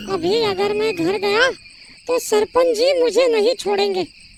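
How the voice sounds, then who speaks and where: A cartoonish character voice squeaks along at an extremely high pitch. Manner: timid, anxious.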